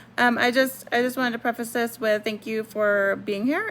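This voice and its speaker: A woman mumbles at a moderate pace in a fairly high pitch with fairly even intonation. Noticeable background noise sits behind her. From Puerto Rico. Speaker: homesteading YouTuber. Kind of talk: casual tutorial. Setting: at home. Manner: mumbling.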